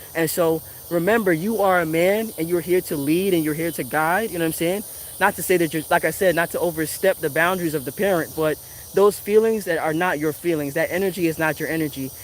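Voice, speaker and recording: Talking at a very fast pace, a man with an American accent keeps a high pitch and fairly even intonation. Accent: Virgin Islands accent, usually toned down. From US Virgin Islands (Saint Thomas). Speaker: tarot reader and spiritual commentator. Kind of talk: casual motivational monologue. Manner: rambling conversational, many fillers.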